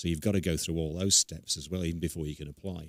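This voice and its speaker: Recorded with a dry, close sound and no echo, a man with an English accent speaks at a very deep, low pitch with fairly even intonation. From England. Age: 60s. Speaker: guest on gun ownership. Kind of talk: interview.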